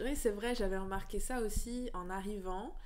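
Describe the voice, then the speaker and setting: A woman speaks at a moderate pace with ordinary pitch variation. Audible room echo fills the space. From northeastern France. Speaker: freelance journalist. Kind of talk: podcast interview. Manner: hesitant, many fillers.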